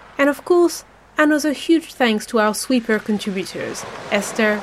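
Noticeable background noise sits behind a woman's voice. Her intonation is lively at a moderate pace. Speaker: podcast host. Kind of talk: scripted audio zine presenting.

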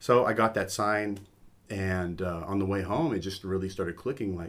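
An ordinary speaking voice moves along at a moderate pace. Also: man. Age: 50s. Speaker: float center owner. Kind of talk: casual chat.

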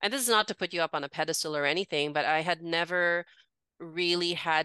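Recorded dry and close with no echo against a quiet background, a woman speaks at a fairly low pitch in a bright, sharp tone with fairly even intonation. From Philippines, raised in Singapore and Hong Kong. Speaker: women's coach. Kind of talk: interview, personal testimony.

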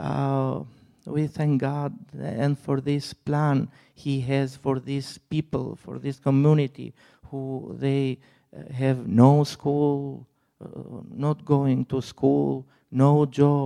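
A man's fairly high voice with a non-native accent, a dark, mellow tone, flat monotone intonation, big swings in loudness and a very slow pace. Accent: foreign-accented English. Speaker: missionary. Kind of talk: testimony. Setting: church. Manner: halting.

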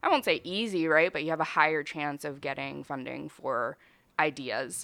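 A woman's very deep, low voice with an American accent, bright and sharp in tone, on a very clean recording with a silent background. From Brazilian family, raised partly in Chicago area. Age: 20s. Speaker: comedian and entrepreneur. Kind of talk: casual chat.

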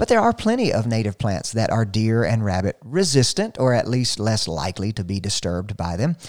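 A man with a Southern US accent talks at a fairly quick pace in a medium pitch, with hardly any pauses. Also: ordinary pitch variation. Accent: Southern US (Georgia). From US South. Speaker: radio gardening show host. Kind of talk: radio call-in style Q&A, casual talk.

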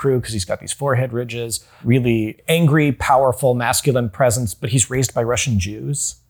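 A man with an American accent speaks at a fairly quick pace, somewhat breathy, with ordinary pitch variation. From US South, North Carolina. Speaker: television writer. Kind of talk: casual interview.

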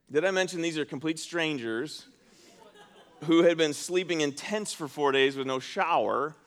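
Noticeable background noise behind a man at a moderate pace, his pitch fairly high with ordinary variation. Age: 40s. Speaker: pastor. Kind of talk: sermon. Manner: conversational.

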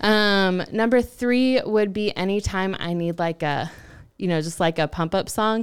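In an American accent, a woman with a medium-pitched voice talks at a fairly slow pace with ordinary pitch variation. The recording is very clean, with a silent background. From US South, Central Texas teen years. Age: 20s. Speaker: director of community engagement. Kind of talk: casual interview chat. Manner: animated.

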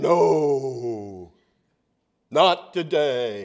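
In a put-on character voice, a man booms out at a medium pitch. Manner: dismissive, authoritative.

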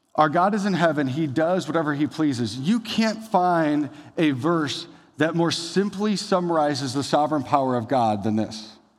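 A man with an animated tone and a fairly high pitch talks at a moderate pace with lively intonation amid audible room echo. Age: 30s. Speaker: pastor. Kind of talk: sermon.

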